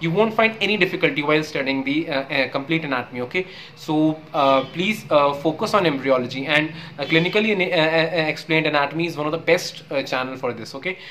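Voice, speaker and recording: Against light background noise, a man with an Indian accent talks at a fairly quick pace and fairly high pitch with ordinary pitch variation. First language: Hindi. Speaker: YouTuber; medical student. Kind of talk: casual tutorial. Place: home room. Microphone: earbuds.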